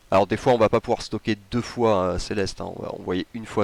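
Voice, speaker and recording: Dry and close with no echo, a man rattles along at a very fast pace in a fairly low pitch with monotone, flat intonation. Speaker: gaming youtuber. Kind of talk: game tutorial commentary.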